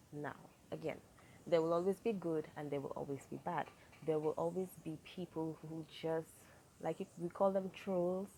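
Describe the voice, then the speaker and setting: A woman with a Saint Lucian accent speaks at a moderate pace in a dark, mellow tone, her fairly low pitch held to fairly even intonation. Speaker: YouTuber. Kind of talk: advice vlog.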